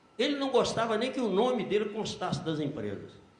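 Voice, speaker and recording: A man with lively intonation amid audible room echo. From Brazil, Minas Gerais (Belo Horizonte). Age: 80s+. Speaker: accounting professor. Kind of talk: lecture.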